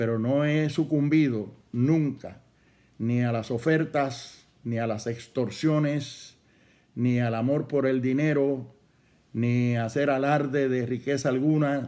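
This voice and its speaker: A man talks at a very slow pace with a medium pitch and fairly even intonation. His tone is dark and mellow, with audible room echo. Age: 70s. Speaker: pastor. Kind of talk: sermon.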